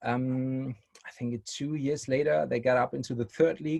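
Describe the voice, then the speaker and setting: Speaking with a German accent, a man uses a dark, mellow tone at medium pitch. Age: 30s. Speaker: youth academy technical director. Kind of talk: presentation. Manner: halting, searching for words.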